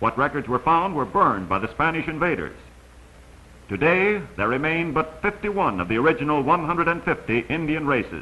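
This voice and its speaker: Here is a plain, everyday voice from a man at a fairly high pitch. He keeps a fairly quick pace. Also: lively intonation. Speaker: documentary narrator. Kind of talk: vintage educational travelogue narration. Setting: old film soundtrack.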